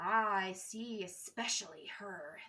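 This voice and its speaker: A woman's put-on character voice at medium pitch and a fairly slow pace. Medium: read story. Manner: menacing, mocking.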